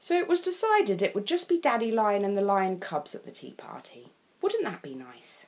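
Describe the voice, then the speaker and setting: The voice moves through very wide pitch swings in an English accent. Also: woman. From England. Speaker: storyteller. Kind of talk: children's picture book read-aloud.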